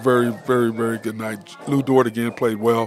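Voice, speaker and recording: With music in the background, the speech comes at a moderate pace in a monotone, flat intonation. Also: man. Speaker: sports radio host. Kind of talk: sports talk show. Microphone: muffled.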